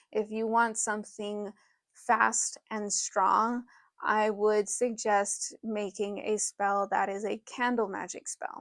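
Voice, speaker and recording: A woman's mumbling, fairly high voice, very slow and flat in intonation, dry and close with no echo, on a very clean recording with a silent background. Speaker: witchcraft teacher. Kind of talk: tutorial.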